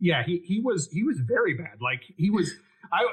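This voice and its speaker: In an American accent, a man speaks at a high pitch. His tone is animated. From US. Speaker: podcast host. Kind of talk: podcast interview. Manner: casual, animated.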